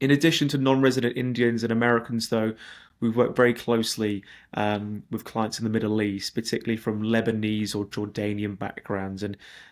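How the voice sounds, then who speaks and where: A man with a British accent, medium pitch, a fairly quick pace and monotone, flat intonation. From Britain. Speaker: investment migration consultant. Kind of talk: webinar presentation. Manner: hesitant with repetitions.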